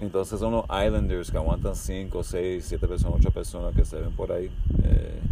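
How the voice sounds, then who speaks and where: Noticeable background noise behind a man's voice, moderate in pace, with hardly any pauses. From Miami, Florida, Cuban-American family. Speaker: skydiving company founder and instructor. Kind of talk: casual interview. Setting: at an airport.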